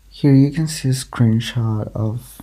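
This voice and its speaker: A man speaks at a medium pitch. His voice is dark, mellow and somewhat breathy. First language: not English. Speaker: social media creator. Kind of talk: scripted personal statement. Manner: reading from a script.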